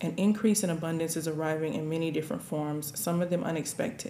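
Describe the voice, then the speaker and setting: A woman's fairly low voice at a fairly quick pace, over noticeable background noise. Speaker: spiritual tarot reader. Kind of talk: intuitive spiritual reading.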